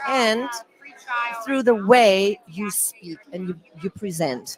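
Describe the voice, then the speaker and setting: Lively intonation carries this speech in a non-native accent. Noticeable background noise sits behind it. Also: woman. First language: not English. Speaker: communication coach for entrepreneurs. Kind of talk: interview.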